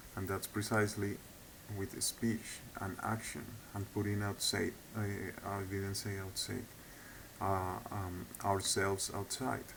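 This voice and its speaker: Someone with a non-native accent speaks at a very slow pace. There is audible room echo and noticeable background noise. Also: man. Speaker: video blogger. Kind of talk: monologue lecture. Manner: halting; hesitant with repetitions.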